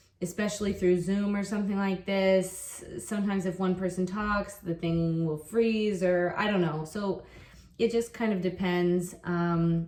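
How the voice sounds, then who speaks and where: A woman with an American accent speaks at a medium pitch and a fairly slow pace, in monotone, flat intonation, with noticeable background noise. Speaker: online English teacher. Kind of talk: casual vlog talk. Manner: casual, with fillers and repetitions.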